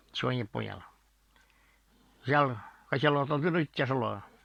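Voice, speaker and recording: Speaking very slowly, a man uses ordinary pitch variation and a Komi accent. The sound is dry and close, with no echo. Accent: non-Russian Komi-Zyryan. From Komi Republic, Russia. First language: Komi (speaking Russian). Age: 70s. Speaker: author and storyteller. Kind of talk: storytelling. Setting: at home in the bedroom. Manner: halting, with repetitions and false starts.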